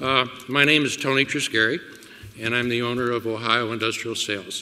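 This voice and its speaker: A man's medium-pitched voice at a moderate pace, with fairly even intonation, long, frequent pauses, and noticeable background noise. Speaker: small business owner. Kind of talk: roundtable testimony. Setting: public roundtable event. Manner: halting.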